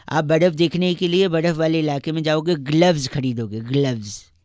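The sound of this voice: The voice has a slightly mellow tone and ordinary pitch variation. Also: man, fairly high pitch for a man, moderate pace.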